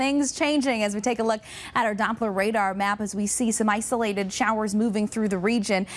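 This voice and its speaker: A woman with an ordinary speaking voice at a fairly quick pace and fairly high pitch, her loudness very even. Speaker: weather anchor and reporter. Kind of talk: TV weather forecast. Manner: polished, upbeat, broadcast delivery.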